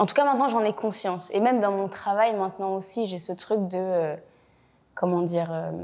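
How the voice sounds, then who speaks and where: A woman with a medium pitch talks at a fairly slow pace, her pitch varying in an ordinary way. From Belgium, Brussels. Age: 20s. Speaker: actress. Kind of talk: interview. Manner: talkative, many hesitations.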